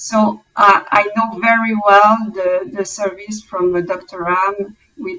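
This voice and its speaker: Speaking very slowly in a French Canadian accent, a woman holds a medium pitch with ordinary pitch variation. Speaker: clinical research project manager. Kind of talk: panel discussion. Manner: halting.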